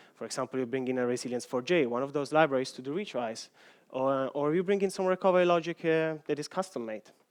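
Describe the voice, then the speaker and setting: Speaking very fast, a man has an Italian accent. His pitch is fairly high. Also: ordinary pitch variation. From Italy. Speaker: software engineer. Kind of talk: conference talk.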